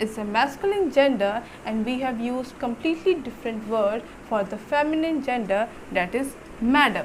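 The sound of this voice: Speaking at a moderate pace with few pauses, a woman uses lively intonation at a fairly high pitch.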